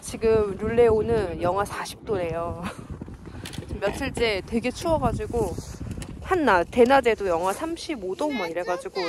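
A woman speaks very slowly. The sound is dry with no echo, though background noise is noticeable. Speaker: parent vlogger. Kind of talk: casual vlog chat. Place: open country. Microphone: phone near.

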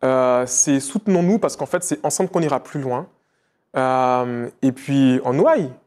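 Medium-pitched male speech, fairly slow, with ordinary pitch variation. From Martinique. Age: 30s. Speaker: entrepreneur; interview guest. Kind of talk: interview. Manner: hesitant, with many fillers. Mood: calm, reflective. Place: studio. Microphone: lapel.

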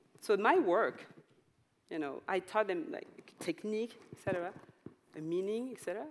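A woman with a French accent talks at a fairly quick pace, her pitch swinging very widely, with long, frequent pauses and light background noise. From France. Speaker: dancer and choreographer; panelist. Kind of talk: panel discussion. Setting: stage with audience. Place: stage. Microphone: headset.

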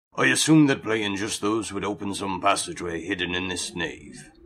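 A rumbling, put-on character voice moves at a moderate pace with ordinary pitch variation. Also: man. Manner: dry, competitive, grumbling.

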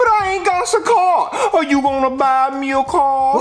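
The speaker uses a put-on character voice with a drawl at a moderate pace. Clear background noise can be heard. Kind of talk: comic overacting. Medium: puppet show. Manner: slangy, simple, drawling.

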